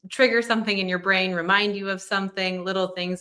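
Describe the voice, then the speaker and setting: Words come from a woman at a very fast pace. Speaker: embroidery class instructor. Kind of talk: live online class.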